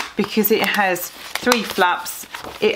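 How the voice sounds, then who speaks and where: A woman's medium-pitched voice, flat and monotone, over noticeable background noise. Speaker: sewing vlogger. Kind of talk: casual talk to camera.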